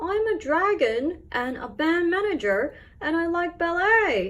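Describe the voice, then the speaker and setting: A woman's put-on character voice, extremely high in pitch, at a fairly slow pace. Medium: read story. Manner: friendly, earnest.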